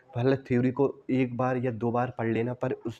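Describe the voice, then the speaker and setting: With a dark, mellow tone, a man talks in a monotone, flat intonation. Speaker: math and reasoning teacher. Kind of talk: tutorial. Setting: classroom recording with wooden board.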